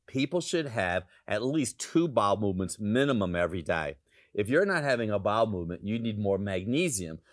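Speaking with a plain, everyday voice, a man talks at a fairly low pitch and a fairly quick pace, with lively intonation. The recording is very clean, with a silent background. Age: 60s. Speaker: health practitioner. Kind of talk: TV talk show health segment.

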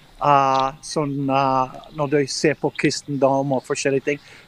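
A man speaks at a very slow pace, recorded with a dry, close sound that has no echo. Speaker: missionary aid worker. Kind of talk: interview. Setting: video call.

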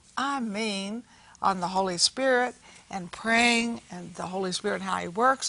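A woman speaks at a fairly slow pace with a bright, sharp tone. Her loudness swings widely. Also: medium pitch for a woman, ordinary pitch variation. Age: 80s+. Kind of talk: talk show with religious testimony.

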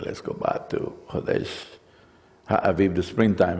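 With a non-native accent and noticeable vocal fry, a man speaks at a moderate pace. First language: not English. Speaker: messianic congregation preacher and Torah teacher. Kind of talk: sermon. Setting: congregation with slides. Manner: halting, many fillers.

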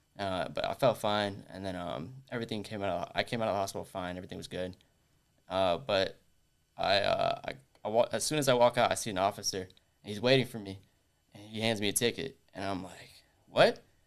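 On a very clean recording with a silent background, a man with a normal speaking voice talks fairly quickly at a fairly low pitch, with ordinary pitch variation and big swings in loudness. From US, Orlando, Florida, of Puerto Rican background. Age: 20s. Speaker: timeshare sales rep. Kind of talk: casual interview.

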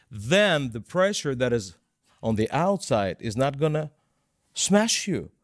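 A man with a Russian accent at a fairly high pitch, very wide pitch swings and a fairly slow pace, in a very clean recording with a silent background. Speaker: Bible teacher. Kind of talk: devotional teaching discussion.

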